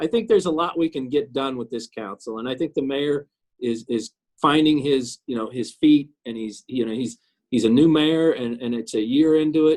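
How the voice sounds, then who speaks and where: A man talks at a moderate pace in a fairly high voice. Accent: Midwestern US. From Kansas City, Missouri. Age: 60s. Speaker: city councilman. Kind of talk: interview. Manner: halting, many repetitions.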